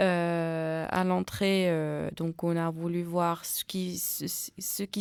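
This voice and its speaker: The recording is very clean with a silent background, and the woman's voice sits at a medium pitch. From Tunisia. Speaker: community radio journalist. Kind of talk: radio interview. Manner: halting, many fillers and repetitions.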